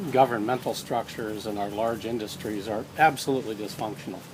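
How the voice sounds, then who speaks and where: There is noticeable background noise. Over it, a man talks at a medium pitch. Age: 60s. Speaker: social entrepreneur and author. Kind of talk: casual interview on a walk. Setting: outdoors walk, filmed on iPad. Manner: hesitant, many fillers.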